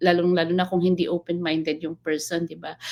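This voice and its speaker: A woman's voice sits fairly low in pitch. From northern Philippines. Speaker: live stream host. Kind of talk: casual live stream chat. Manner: sounds angry even when not.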